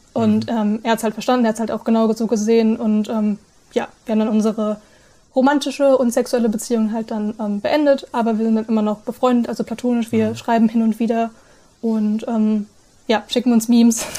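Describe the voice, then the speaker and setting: A woman's fairly high, somewhat breathy voice with a dark, mellow tone moves at a fairly quick pace with monotone, flat intonation. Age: 20s. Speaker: polyamory content creator. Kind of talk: casual interview. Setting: video call.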